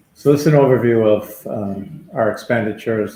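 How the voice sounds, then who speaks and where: Medium in pitch with ordinary variation, a man's somewhat breathy voice has a dark, mellow tone. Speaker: town finance official. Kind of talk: budget presentation.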